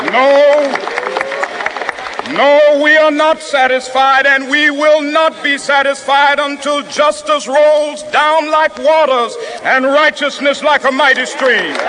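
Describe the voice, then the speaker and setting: A man's raised, projected voice in an American accent, extremely high in pitch, very slow, monotone and flat, at very even loudness over noticeable background noise. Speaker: civil rights leader, minister. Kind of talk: historic public oration at a rally. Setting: outdoor rally PA system, 1960s recording. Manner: rhythmic, impassioned, preacher-like cadence.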